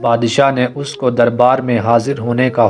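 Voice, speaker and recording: The man's voice sits at a medium pitch. Behind him, music plays. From Azad Kashmir. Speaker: voice-over artist. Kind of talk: story narration.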